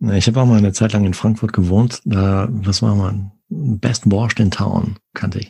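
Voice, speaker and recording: The voice is dark and mellow and somewhat breathy, moving at a fairly slow pace with fairly even intonation and hardly any pauses. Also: man, fairly low pitch for a man. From Sauerland, western Germany. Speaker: podcast host. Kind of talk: casual interview.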